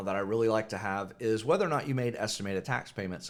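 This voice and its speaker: This man speaks at medium pitch with ordinary pitch variation. The recording is very clean, with a silent background. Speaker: accountant. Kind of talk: informal business livestream talk. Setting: live video stream. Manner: fast.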